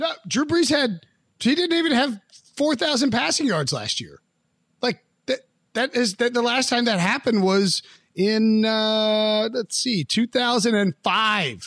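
A man with an American accent speaks at an extremely high pitch. His intonation is lively and his pace fairly slow. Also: dry, close sound with no echo, very clean recording, silent background. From US South, western North Carolina. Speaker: football analyst. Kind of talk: casual chat.

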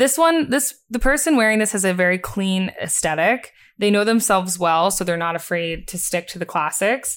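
A woman with an American accent and a normal speaking voice talks at a moderate pace with hardly any pauses, her medium-pitched voice showing lively intonation in a very clean recording with a silent background. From US Northeast, Bucks County, Pennsylvania. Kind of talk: casual interview chat.

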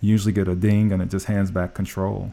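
A man with an American accent speaks in a fairly low pitch with a dark, mellow tone. His intonation is monotone and flat. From US Midwest, Indianapolis. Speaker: automotive tech executive. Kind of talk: interview.

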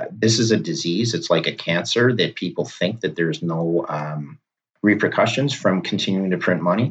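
Speech comes in a normal speaking voice at a moderate pace with lively intonation. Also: man, fairly low pitch for a man. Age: 50s. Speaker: bitcoin strategist. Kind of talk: interview. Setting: remote call.

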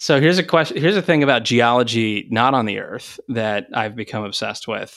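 With an American accent, a man speaks in an ordinary speaking voice at medium pitch, using lively intonation and hardly any pauses, on a very clean recording with a silent background. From Texas. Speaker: energy company CEO. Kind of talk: interview.

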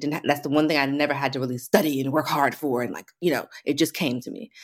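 A woman with an American accent talks at a very fast pace with hardly any pauses, her pitch very deep and low. The recording is very clean, with a silent background. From US, Washington DC area (Alexandria, Virginia). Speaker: hairstylist and educator. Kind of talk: casual interview.

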